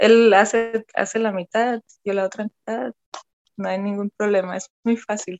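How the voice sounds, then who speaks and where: A woman's fairly high-pitched voice at a fairly slow pace, with music in the background. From Germany, Cologne. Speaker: photographer and dancer. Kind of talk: personal storytelling interview.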